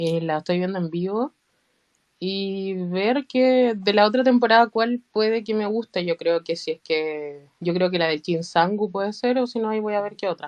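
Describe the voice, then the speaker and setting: Speaking in a Chilean accent, a woman keeps a moderate pace and a medium pitch. Her pitch variation is ordinary. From Chile, Santiago. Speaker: fan. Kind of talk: casual group chat.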